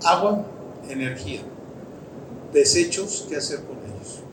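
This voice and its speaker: Noticeable background noise and audible room echo accompany a man who talks fairly slowly. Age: 60s. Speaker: engineer and company director. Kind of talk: conference talk. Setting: stage with audience. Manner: halting, with false starts.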